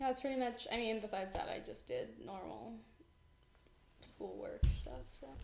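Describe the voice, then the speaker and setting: There is audible room echo and noticeable background noise as a woman speaks with long, frequent pauses. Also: moderate pace. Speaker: podcast co-host. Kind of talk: casual chat. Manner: low-energy.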